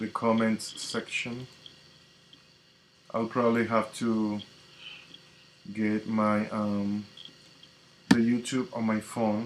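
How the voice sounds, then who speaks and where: A man with a Spanish accent speaks at a medium pitch in a monotone, flat intonation, very slowly and with long, frequent pauses. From Dominican Republic, Santiago. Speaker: tarot reader and spiritual coach. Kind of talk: live stream chat. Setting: live stream on social media.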